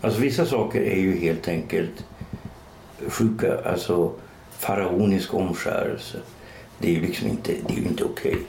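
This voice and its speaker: A man talks at a moderate pace with long, frequent pauses and very even loudness. Audible room echo and noticeable background noise surround him. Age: 60s. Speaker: writer and podcast co-host. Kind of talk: casual chat.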